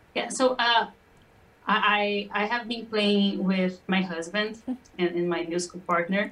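A woman with a Portuguese accent and fairly even intonation. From Brazil. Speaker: singer-songwriter. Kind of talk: interview.

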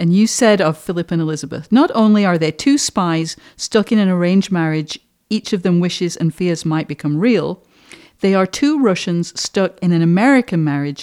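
A woman with a normal speaking voice and a fairly low pitch talks with lively intonation in a dry, close sound with no echo. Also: moderate pace. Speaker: podcast host. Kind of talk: interview.

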